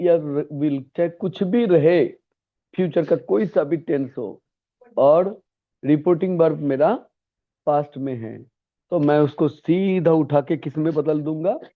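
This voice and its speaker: A man's ordinary speaking voice at a fairly high pitch. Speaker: English grammar teacher. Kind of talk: lecture.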